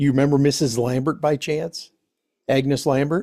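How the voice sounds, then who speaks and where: With a dark, mellow tone, a man talks at a moderate pace and fairly high pitch, using ordinary pitch variation. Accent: American. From Bay City, Michigan. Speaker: family history interviewer. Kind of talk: casual family interview. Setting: relative's home.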